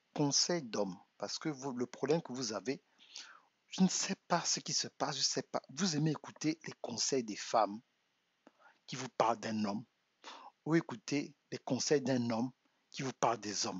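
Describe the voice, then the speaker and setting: Soft-spoken and fairly slow, a man uses lively intonation with long, frequent pauses. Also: medium pitch for a man. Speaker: relationship coach. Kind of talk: live stream monologue. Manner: halting, repeats words.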